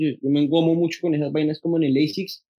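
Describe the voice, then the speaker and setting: A man speaks with a fairly high pitch. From Colombia, Bogotá. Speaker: sneaker enthusiast, content creator. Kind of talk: casual chat. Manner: animated.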